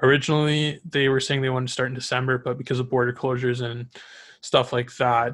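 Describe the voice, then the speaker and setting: Delivered at a very fast pace, the voice is monotone and flat, on a very clean recording with a silent background. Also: man. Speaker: podcast host. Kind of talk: solo sports podcast, casual chat.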